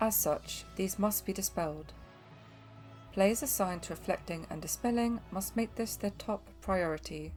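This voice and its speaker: Music is audible behind the voice. A woman talks fairly slowly. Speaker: game guide narrator. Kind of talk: game tutorial voice-over.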